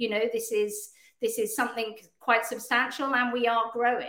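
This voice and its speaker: In a British accent, a woman speaks at a fairly high pitch and a moderate pace. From Hong Kong and England. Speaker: business owner in travel industry. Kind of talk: casual interview chat.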